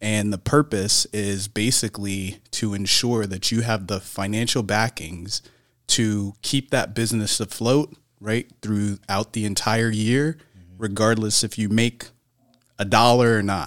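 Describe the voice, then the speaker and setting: A normal speaking voice moves at a fairly slow pace with fairly even intonation. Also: man, fairly low pitch for a man, very clean recording, silent background. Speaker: business owner. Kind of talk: casual chat.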